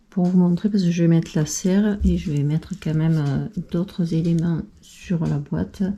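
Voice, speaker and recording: Soft-spoken and somewhat breathy, a woman talks at a fairly low pitch with fairly even intonation. Her tone is dark and mellow. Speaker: craft YouTuber. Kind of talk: tutorial. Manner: hesitant, many fillers.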